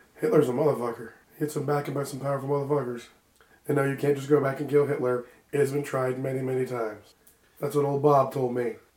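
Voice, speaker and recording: A put-on character voice, gruff and raspy, with monotone, flat intonation at a very fast pace. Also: man, medium pitch for a man. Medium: actual play. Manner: gruff, profane, folksy.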